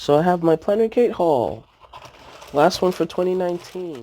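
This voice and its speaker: A woman's fairly low voice at a fairly slow pace, against noticeable background noise. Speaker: planner hobby YouTuber. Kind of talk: casual product haul video.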